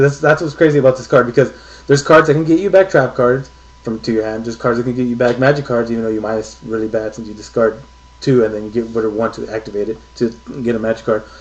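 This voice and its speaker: Over noticeable background noise, a man speaks very fast at medium pitch with big swings in loudness. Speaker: card game video reviewer. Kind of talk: unscripted card review video. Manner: halting, with fillers.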